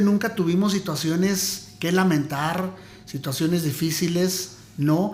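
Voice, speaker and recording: The pace is very slow. Ordinary pitch variation runs through it. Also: man. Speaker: former radio announcer. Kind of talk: interview answer, casual storytelling.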